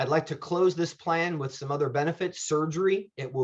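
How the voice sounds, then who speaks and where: Somewhat breathy, this man's voice has a fairly high pitch and ordinary pitch variation. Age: 50s. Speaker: insurance benefits agent. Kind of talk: presentation.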